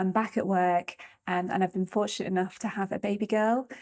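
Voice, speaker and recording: Here is a woman with an ordinary speaking voice and medium pitch. She moves at a fairly quick pace with fairly even intonation. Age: 30s. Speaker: doctor. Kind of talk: testimony and health advice.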